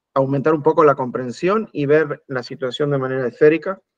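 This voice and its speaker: Fairly even intonation marks this man's fairly high voice. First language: Spanish (speaking French). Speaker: spiritual teacher. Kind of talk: talk in short segments for interpretation.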